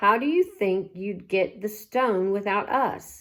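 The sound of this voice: An unforced reading voice, pitch changing in an ordinary manner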